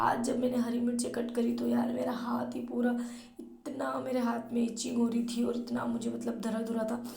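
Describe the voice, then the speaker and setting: A woman talks at a moderate pace while noticeable background noise and audible room echo fill the recording. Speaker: vlogger. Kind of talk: vlog narration.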